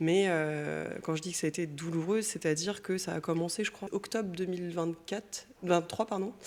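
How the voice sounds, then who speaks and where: Speech comes at a fairly quick pace, its intonation fairly even. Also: woman. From Brittany, France. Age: 40s. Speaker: painter, former teacher. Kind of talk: interview, personal testimony. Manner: casual, hesitant with fillers.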